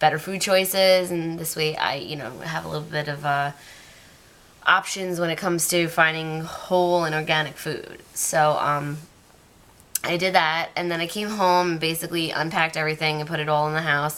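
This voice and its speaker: A woman's fairly low voice at a moderate pace, with monotone, flat intonation. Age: 20s. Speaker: vlogger. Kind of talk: casual vlog monologue. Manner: hesitant, many fillers.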